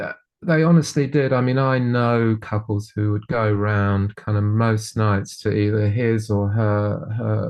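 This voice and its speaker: A man with a southern English accent speaks at a very slow pace. His voice is medium-pitched, with ordinary pitch variation. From England, Bedfordshire (Dunstable). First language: Polish. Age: 60s. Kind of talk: interview. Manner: halting, many repetitions.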